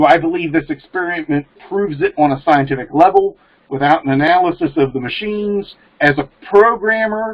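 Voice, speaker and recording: A man with an American accent speaks at a moderate pace, his pitch varying in an ordinary way. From Maryland, US. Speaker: programmer and pagan practitioner; panelist. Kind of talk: casual discussion. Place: home room. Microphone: webcam.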